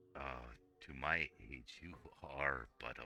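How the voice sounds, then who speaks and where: A man in a put-on character voice growls at a fairly slow pace. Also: very deep, low pitch for a man, fairly even intonation. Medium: actual play. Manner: condescending, cryptic.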